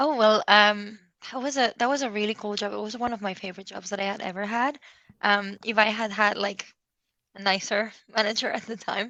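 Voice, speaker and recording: A woman's fairly high, bright, sharp voice at a fairly quick pace, with fairly even intonation over a quiet background. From Spain. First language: Spanish. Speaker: SEO consultant. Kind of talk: interview.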